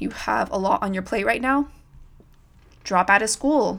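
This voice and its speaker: At a moderate pace, a woman speaks at a medium pitch in an American accent. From California. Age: 20s. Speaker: podcast host. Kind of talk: solo podcast monologue, casual.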